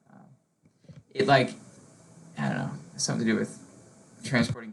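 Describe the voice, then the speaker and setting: Vocal fry in a man's voice of medium pitch, with ordinary pitch variation. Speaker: GIS trainer showing colleagues. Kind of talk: internal training tutorial. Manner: fast; casual, many fillers.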